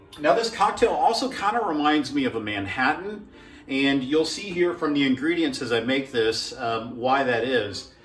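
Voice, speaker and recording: A fairly high-pitched man at a moderate pace, with very wide pitch swings, audible room echo and music in the background. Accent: American. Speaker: home cocktail video maker. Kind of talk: casual tutorial. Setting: at home. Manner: relaxed, with fillers.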